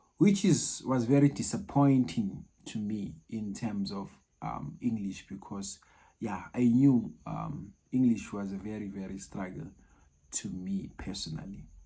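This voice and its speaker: Speaking at a fairly slow pace with a Zulu accent, this voice is captured in a very clean recording against a silent background. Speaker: maths tutor. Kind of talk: personal story, casual talk to camera. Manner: halting.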